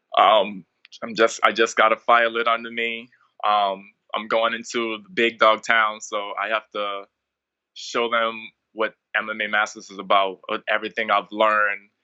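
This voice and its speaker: A man talks in a monotone with flat intonation, keeping a moderate pace. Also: medium pitch for a man. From Bahamas. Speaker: mixed martial arts fighter. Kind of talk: interview.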